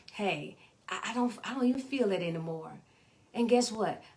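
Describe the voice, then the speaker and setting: Noticeable background noise accompanies speech delivered at a medium pace. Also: woman. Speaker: life coach. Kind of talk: live video talk. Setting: live video stream. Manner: repetitive, halting at times; animated.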